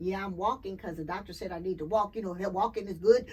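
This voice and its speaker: A woman speaks in an animated tone, somewhat breathy. Her pitch varies in an ordinary way. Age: 60s. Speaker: clean energy advocate. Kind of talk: casual interview.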